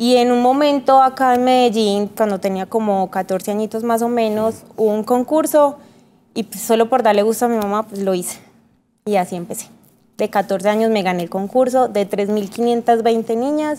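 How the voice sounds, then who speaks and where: Her voice is fairly high with a dark, mellow tone, and the woman uses ordinary pitch variation. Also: moderate pace. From Colombia, Antioquia (paisa), also Eje Cafetero; Antioquia, Colombia. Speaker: model; interview guest. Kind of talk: TV interview. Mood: relaxed, smiling, reminiscing. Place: studio.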